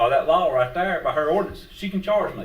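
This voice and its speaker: A man speaks in a Southern US accent. His pace is very fast. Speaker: public commenter, retired police officer and hunter. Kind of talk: public comment at meeting. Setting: county board meeting.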